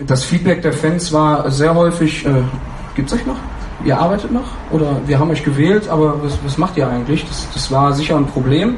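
Speaking at a moderate pace with ordinary pitch variation, a man with a fairly high pitch is heard through audible room echo and noticeable background noise. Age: 30s. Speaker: fan council member. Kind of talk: panel discussion.

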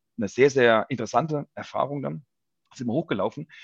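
A man speaks with lively intonation, his voice dry and close with no echo over a quiet background. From Palatinate, Germany (Ludwigshafen area). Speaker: bass player and football fan. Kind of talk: casual chat. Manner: halting, many fillers.

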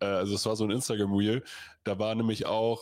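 Here is a man with a plain, everyday voice and a medium pitch. He speaks at a fairly quick pace. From Lower Saxony, Germany. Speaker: American football podcast host. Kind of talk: casual chat. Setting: livestream.

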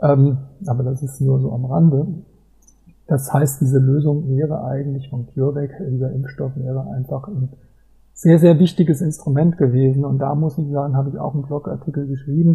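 A man speaks at a moderate pace with a fairly high, somewhat breathy voice. His intonation stays fairly even. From Germany, Mainz. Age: 40s. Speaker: football fan blogger and travel author. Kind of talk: casual interview.

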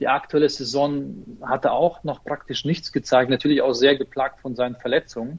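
Against a quiet background, a man with a normal speaking voice speaks at a moderate pace, his fairly high pitch showing ordinary pitch variation. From Ukraine, moved to Germany as a child. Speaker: football fan page operator. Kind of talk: casual chat.

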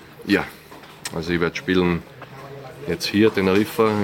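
Very deep, low pitch from a man at a moderate pace with fairly even intonation over noticeable background noise. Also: long, frequent pauses. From Austria. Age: 20s. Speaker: professional tennis player. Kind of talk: interview.

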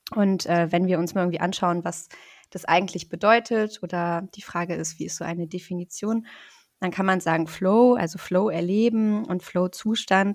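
A woman at medium pitch talks at a moderate pace with fairly even intonation in an unremarkable speaking voice. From northern Germany, Rostock (Baltic coast). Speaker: psychologist. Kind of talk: interview.

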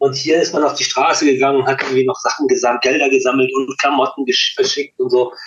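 A man talking at a very fast clip, with hardly any pauses and very even loudness. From Hamburg, Germany (born in Chile). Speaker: punk musician. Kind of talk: interview conversation.

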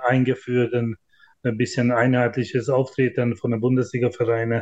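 At medium pitch, a man speaks in a flat, monotone way at a moderate pace. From Hungary. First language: Hungarian (speaking German). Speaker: handball club managing director. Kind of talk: interview.

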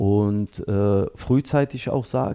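A man speaks in a dark, mellow tone with ordinary pitch variation on a very clean recording with a silent background. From Berlin and Bosnia. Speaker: former footballer and coach. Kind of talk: interview. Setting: studio.

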